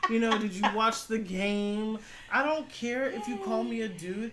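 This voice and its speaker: Audible echo from the room, clear background noise, and a female voice. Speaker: podcast host and call center worker. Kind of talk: casual chat.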